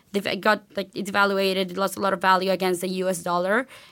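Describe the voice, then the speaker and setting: A woman speaks at a medium pitch in a bright, sharp tone. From Venezuela. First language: Spanish. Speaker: university student. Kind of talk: interview.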